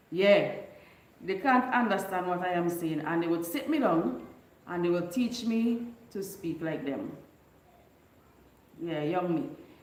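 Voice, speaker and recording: A woman at medium pitch with lively intonation, a fairly slow pace and long, frequent pauses, plus audible room echo and noticeable background noise. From Bequia, St Vincent and the Grenadines. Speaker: YouTuber. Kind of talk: casual live stream chat.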